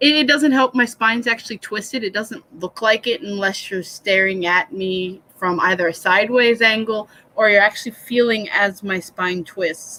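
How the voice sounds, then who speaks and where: With hardly any pauses, a woman talks at a moderate pace and a fairly high pitch, with ordinary pitch variation. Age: 30s. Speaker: livestreamer hosting writing sessions. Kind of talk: casual livestream chat. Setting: live stream, dark room at night. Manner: soft-spoken.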